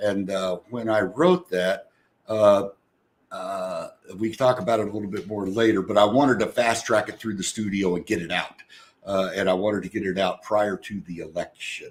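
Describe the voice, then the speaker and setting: At a moderate pace, the speaker uses an unremarkable speaking voice. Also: man, fairly low pitch for a man. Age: 60s. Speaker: singer-songwriter, retired corporate worker. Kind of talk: casual interview chat.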